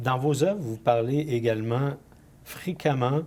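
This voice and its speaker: This man talks at a fairly slow pace in a dark, mellow tone that is somewhat breathy, with ordinary pitch variation. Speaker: interview show host. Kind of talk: TV interview hosting.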